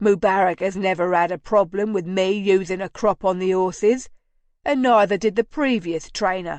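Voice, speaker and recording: A woman puts on a gruff character voice at a medium pitch. She goes at a moderate pace, and the sound is dry and close with no echo. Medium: read story. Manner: gruff, disdainful.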